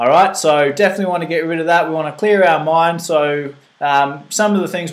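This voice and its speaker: Fairly high in pitch, a man with an Australian accent talks at a fairly quick pace. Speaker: fitness coach presenting a nutrition seminar. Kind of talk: live seminar talk. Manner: fast; animated.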